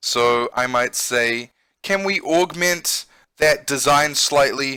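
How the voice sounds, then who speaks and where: A man with a New Zealand accent has a fairly high pitch and a bright, sharp tone with very wide pitch swings. The sound is dry and close with no echo, on a very clean recording with a silent background. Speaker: English teacher and gamer. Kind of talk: let's play with vocabulary lesson. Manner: casual and explanatory.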